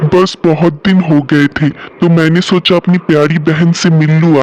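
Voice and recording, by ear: A man does a cartoonish character voice, pitched high and flat in a monotone at a moderate pace. His loudness stays very even, and the sound is dry and close with no echo.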